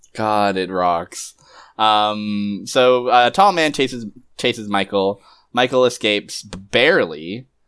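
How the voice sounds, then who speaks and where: This man talks at a fairly slow pace, his voice sitting fairly low and moving with ordinary pitch variation. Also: very clean recording, silent background. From Canada. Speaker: podcaster guest. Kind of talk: casual chat. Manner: halting.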